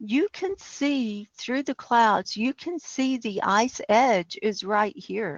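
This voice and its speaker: Ordinary pitch variation marks a woman speaking at a fairly high pitch. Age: 60s. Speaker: climate podcast host. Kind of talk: casual chat. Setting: live online call-in studio. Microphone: echo on the line.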